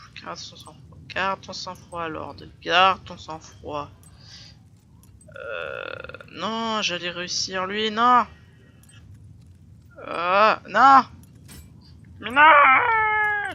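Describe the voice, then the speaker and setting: Against noticeable background noise, the speaker talks at a very slow pace with long, frequent pauses. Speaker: gaming youtuber. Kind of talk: let's play commentary. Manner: soft-spoken; animated.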